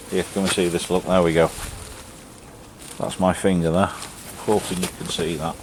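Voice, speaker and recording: A man with an English accent speaks in a very deep, low voice at a moderate pace, flat and monotone, with long, frequent pauses and noticeable background noise. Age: 50s. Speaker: YouTuber reviewing gear. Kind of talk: casual product review. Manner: casual, chatty.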